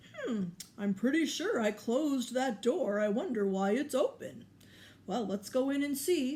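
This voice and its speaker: The speaker uses a put-on character voice at a fairly high pitch and a moderate pace. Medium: read story. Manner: slow, ponderous, thoughtful.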